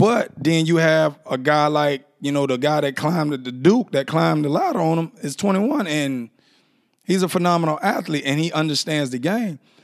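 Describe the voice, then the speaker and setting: A man speaks in an animated tone at a fairly high pitch. His pace is moderate and his pitch varies in an ordinary way. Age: 30s. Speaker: podcast host. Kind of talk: casual monologue.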